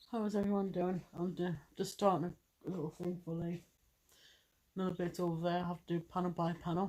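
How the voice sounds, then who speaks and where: A woman with an English accent speaks very fast in a fairly low, dark, mellow voice with monotone, flat intonation. Her speech is broken by long, frequent pauses. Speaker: vlogger. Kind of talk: casual chat.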